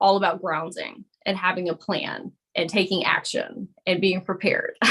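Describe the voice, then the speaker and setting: Speaking in a Southern US accent, a woman talks at a moderate pace with a medium pitch. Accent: Southern US (Georgia). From US South, Georgia. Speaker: spiritual coach and energy healer. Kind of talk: live-streamed group coaching. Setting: video call live stream.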